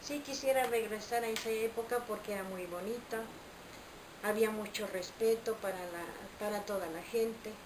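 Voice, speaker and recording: Through noticeable background noise and audible room echo, a woman speaks at a moderate pace with fairly even intonation. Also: fairly high pitch for a woman. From Mexico, Veracruz. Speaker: interviewee. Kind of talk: interview.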